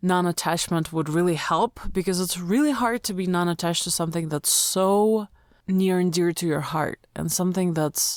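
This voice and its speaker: Speaking at a fairly slow pace in a Russian accent, the voice shows ordinary pitch variation. The recording is very clean with a silent background and a dry, close sound with no echo. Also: woman. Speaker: spiritual manifesting coach. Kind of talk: emotional rant. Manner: emotional.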